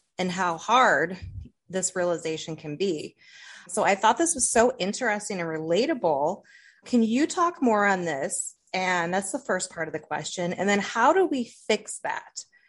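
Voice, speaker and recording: A woman with an American accent speaks at a moderate pace in a plain, everyday voice, her pitch medium and her intonation lively. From Toledo, Ohio. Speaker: podcast host. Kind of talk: interview.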